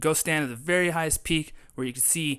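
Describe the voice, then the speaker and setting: Recorded very cleanly against a silent background, a man talks at a moderate pace with fairly even intonation. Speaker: vlogger and photographer. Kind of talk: casual monologue to camera. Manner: halting, many fillers.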